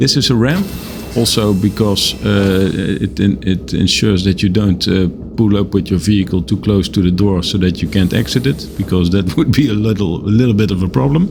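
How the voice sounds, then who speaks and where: Noticeable background noise sits behind a man speaking at a fairly low pitch with ordinary pitch variation. His pace is fairly quick and his loudness very even. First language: not English. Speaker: gaming video creator. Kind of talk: game tour commentary. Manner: halting, many fillers.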